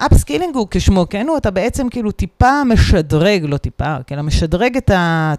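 A woman talks with hardly any pauses. Her pitch swings very widely. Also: medium pitch for a woman, moderate pace, dry, close sound with no echo. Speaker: HR director. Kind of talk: interview.

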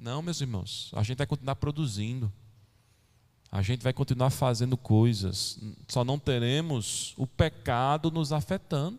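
The recording is very clean with a silent background. A man with an ordinary speaking voice talks at a fairly slow pace and medium pitch, with ordinary pitch variation. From São Paulo, Brazil. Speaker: pastor. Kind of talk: sermon. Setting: church.

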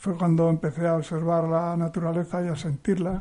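Pitched high, this man talks at a fairly quick pace. His tone is dark and mellow. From Cantabria, Spain (rural interior village). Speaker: poet. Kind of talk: radio interview.

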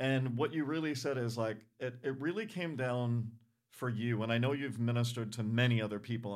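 In an American accent, a man with a normal speaking voice talks at a medium pitch with ordinary pitch variation. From Rhode Island, US. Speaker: church podcast host. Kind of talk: casual interview.

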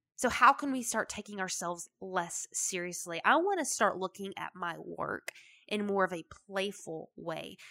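A woman with a Southern US accent has a bright, sharp tone, heard in a dry, close sound with no echo. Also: medium pitch for a woman, ordinary pitch variation, moderate pace. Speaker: podcast host. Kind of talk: solo monologue, motivational talk. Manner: conversational, animated.

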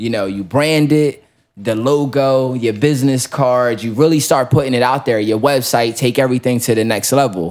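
At a medium pitch, a man talks with a moderate pace. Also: ordinary pitch variation. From South Jersey, US. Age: 20s. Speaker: entrepreneur. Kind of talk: casual chat.

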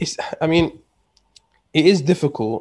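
A man talks with a London accent. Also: very clean recording, silent background. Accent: British English, London multicultural. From UK, Pakistani heritage. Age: 20s. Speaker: podcast guest. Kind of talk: casual chat. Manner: repetitive filler-heavy.

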